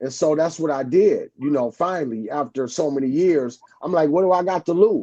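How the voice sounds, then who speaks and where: A man talks with hardly any pauses, ordinary pitch variation and an unremarkable speaking voice. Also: fairly high pitch for a man, moderate pace. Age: 60s. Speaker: truck driver. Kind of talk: casual chat.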